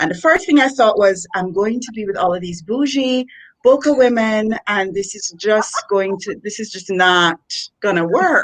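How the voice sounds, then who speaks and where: This woman's voice sits fairly high, with a Jamaican accent. Her loudness swings widely. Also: lively intonation, moderate pace. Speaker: education executive and author. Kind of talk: interview. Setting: live video stream.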